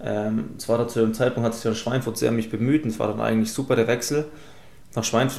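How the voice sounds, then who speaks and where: At a very fast pace, a man speaks with a medium-pitched voice. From Esslingen, Baden-Württemberg (Swabia). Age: 20s. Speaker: professional footballer. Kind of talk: casual interview.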